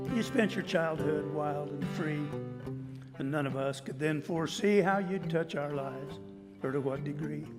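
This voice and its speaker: A fairly high-pitched man at a fairly slow pace with ordinary pitch variation, music in the background. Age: 70s. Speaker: cowboy poet. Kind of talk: poetry reading. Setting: live stage.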